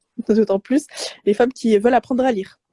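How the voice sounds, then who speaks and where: The tone is dark and mellow, with fairly even intonation. The sound is dry and close, with no echo. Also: woman. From Morocco. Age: 20s. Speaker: Arabic teacher and speech therapist. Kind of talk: interview. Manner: soft-spoken; halting, many hesitations.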